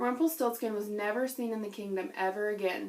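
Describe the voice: The voice is plain reading aloud.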